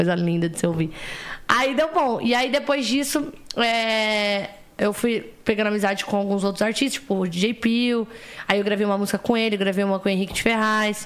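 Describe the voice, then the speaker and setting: At a moderate pace, the speaker uses an ordinary speaking voice with ordinary pitch variation. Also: woman, fairly high pitch for a woman. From interior of São Paulo state, Brazil. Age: 20s. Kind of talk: casual chat.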